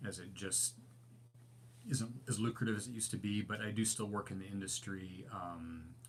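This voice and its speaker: A man's fairly low, somewhat breathy voice at a moderate pace with fairly even intonation. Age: 60s. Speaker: overlanding channel host, graphic designer. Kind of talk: live stream Q&A chat. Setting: live stream. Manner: casual, hesitant with many fillers.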